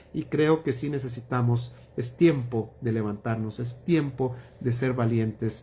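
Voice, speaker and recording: A man talks at a very slow pace, his pitch in the medium range. His intonation stays fairly even. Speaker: pastor. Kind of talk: Bible study livestream closing remarks. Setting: livestream.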